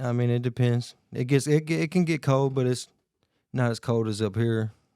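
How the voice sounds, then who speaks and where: Speaking in a Tennessee accent, a man has a dark, mellow tone, a moderate pace and ordinary pitch variation. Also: medium pitch for a man. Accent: Southern US (Tennessee). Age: 20s. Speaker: podcast guest. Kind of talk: casual interview chat.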